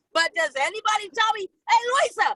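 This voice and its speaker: Raised and projected, a woman's extremely high voice has a bright, sharp, animated tone and lively intonation, moving at a moderate pace in a dry, close sound with no echo. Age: 60s. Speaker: toastmasters club member. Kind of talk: impromptu humorous speech.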